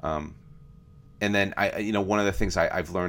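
In a very clean recording with a silent background, a man with a very deep, low voice talks at a very fast pace. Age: 40s. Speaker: podcast co-host. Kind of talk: casual chat. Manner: halting.

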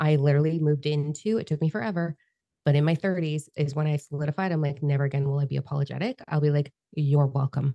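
A woman speaks very fast in a very deep, low voice with a dark, mellow tone. The sound is dry and close, with no echo. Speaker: podcast host. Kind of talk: casual chat. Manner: animated; loud.

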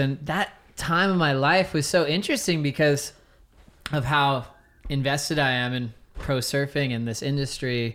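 An ordinary speaking voice from a man, fairly high in pitch, with fairly even intonation. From Hawaii and Southern California (Orange County). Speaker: surf commentator. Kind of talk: casual interview chat.

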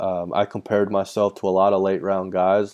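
Fairly low-pitched man's voice with a Texan accent, dark and mellow in tone, against a quiet background. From Texas. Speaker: former baseball player. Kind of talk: interview.

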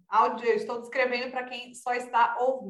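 A woman is speaking here. Her voice is high, and her pace is fairly quick. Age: young. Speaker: sports and politics journalist. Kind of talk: casual chat.

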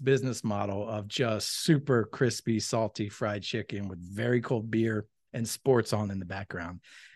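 Over a quiet background, a man with an American accent speaks at medium pitch. He has an unremarkable speaking voice with ordinary pitch variation. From Pennsylvania, Philadelphia area (Malvern). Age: 40s. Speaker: restaurant owner. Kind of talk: casual chat. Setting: unfinished restaurant space under construction.

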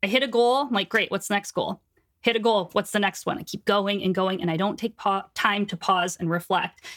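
A woman at a fairly quick pace, ordinary pitch variation, dry and close sound with no echo. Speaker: book editor and business coach. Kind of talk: casual interview chat. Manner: animated.

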